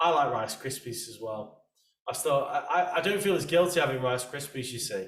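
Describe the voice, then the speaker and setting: Speaking at a moderate pace with an English accent, a man with a fairly high pitch shows big swings in loudness. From England. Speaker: podcast host. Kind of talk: casual interview chat.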